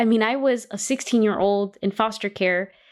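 A woman with a Californian accent, a fairly high voice, lively intonation and a moderate pace, on a very clean recording with a silent background. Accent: Californian American. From Los Angeles. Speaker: college system chancellor and podcast host. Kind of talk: interview.

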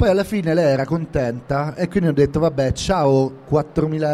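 Moderate pace with music in the background. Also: man. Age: 40s. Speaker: podcast host and novelist. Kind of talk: live interview. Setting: live event room at a book fair.

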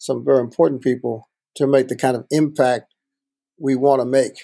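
A man with an American accent, dark and mellow in tone, with fairly even intonation. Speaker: podcast host, financial movement founder. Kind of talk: casual interview.

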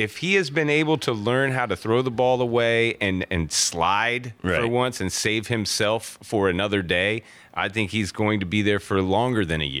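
With an American accent, a normal speaking voice moves at a moderate pace with hardly any pauses and ordinary pitch variation. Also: man, fairly low pitch for a man. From North Carolina. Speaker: sports radio co-host. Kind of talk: sports talk radio.

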